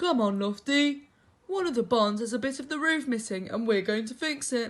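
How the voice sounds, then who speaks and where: A female-sounding, fairly high put-on character voice speaks at a moderate pace. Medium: read story.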